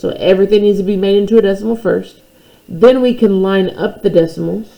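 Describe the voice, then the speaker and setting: An unremarkable speaking voice moves at a fairly quick pace. Its intonation is fairly even. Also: woman, medium pitch for a woman. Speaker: math teacher. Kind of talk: tutorial.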